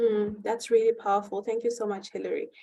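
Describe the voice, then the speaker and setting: The background is quiet as a woman speaks with a South African accent. Her pace is moderate. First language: Xhosa. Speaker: panel moderator. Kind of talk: moderated panel discussion. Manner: halting.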